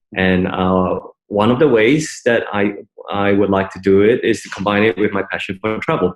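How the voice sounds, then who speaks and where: A man speaks with an Australian accent and a fairly low pitch. His pace is moderate. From Malaysia. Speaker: startup founder. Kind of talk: interview. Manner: halting, many fillers.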